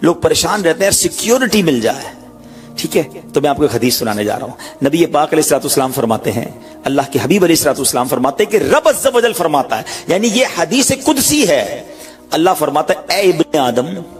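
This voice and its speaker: Music in the background beneath a voice swinging very widely in pitch. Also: man, fairly high pitch for a man. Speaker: Islamic preacher. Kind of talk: Islamic sermon (bayan) delivered to an audience.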